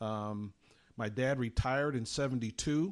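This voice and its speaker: Over a quiet background, a man with an American accent uses an ordinary speaking voice at medium pitch with ordinary pitch variation. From US, army bases across the country and Germany. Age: 60s. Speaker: retired sportscaster. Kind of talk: interview.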